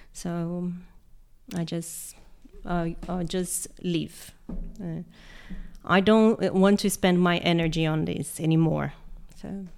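A woman with a Portuguese accent talks very slowly in a fairly low, monotone, flat voice, leaving long, frequent pauses. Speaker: history teacher. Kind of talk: casual interview.

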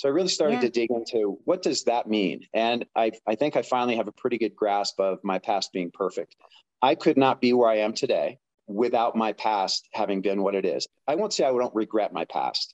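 A man's medium-pitched, ordinary speaking voice at a fairly quick pace with ordinary pitch variation, dry and close with no echo against a quiet background. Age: 50s. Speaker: person in addiction recovery. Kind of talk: personal testimony interview. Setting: remote call.

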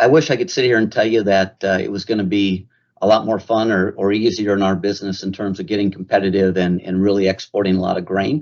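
A normal speaking voice, a man with an American accent, fairly low pitch, fairly even intonation and a fairly quick pace. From Minnesota, US (Mankato). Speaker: grain company commercial leader. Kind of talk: podcast interview.

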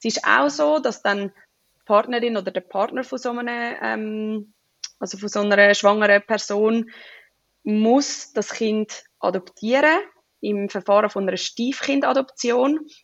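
With a plain, everyday voice, a woman talks at a fairly slow pace in a fairly high pitch, with ordinary pitch variation and big swings in loudness. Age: 20s. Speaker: personal trainer and new mother. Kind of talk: interview.

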